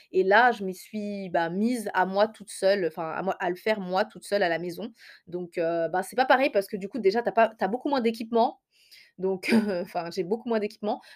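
A woman talks at a moderate pace and a medium pitch, with big swings in loudness. The recording is very clean, with a silent background. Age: 20s. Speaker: hair care podcaster. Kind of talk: solo podcast monologue. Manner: hesitant with many fillers.

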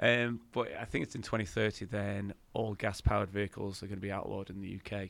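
Speaking at a very fast pace with an English accent, a man uses a fairly low pitch and monotone, flat intonation, his loudness swinging widely. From England. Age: 50s. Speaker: podcast co-host. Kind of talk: casual chat.

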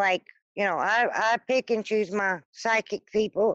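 A woman's unremarkable speaking voice with an American accent, fairly high in pitch, fairly even in intonation, at a moderate pace, dry and close with no echo against a quiet background. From US South. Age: 40s. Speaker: newspaper deliverer. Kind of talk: casual interview chat.

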